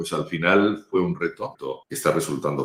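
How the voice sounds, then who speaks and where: A man's voice with vocal fry. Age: 60s. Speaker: spokesman, communications consultant. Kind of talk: interview.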